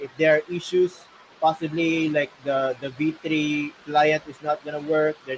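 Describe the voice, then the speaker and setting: A man speaks loudly. His pitch is fairly high. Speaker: gaming guild manager. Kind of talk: livestream Q&A.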